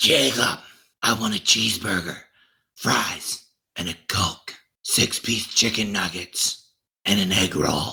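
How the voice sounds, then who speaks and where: A man puts on a raspy character voice at a fairly low pitch. He leaves long, frequent pauses. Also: fairly slow pace. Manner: demonic, possessed.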